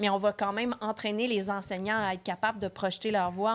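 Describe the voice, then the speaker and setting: Over a silent background on a very clean recording, a woman speaks. Her medium pitch stays monotone and flat. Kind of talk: podcast host talk.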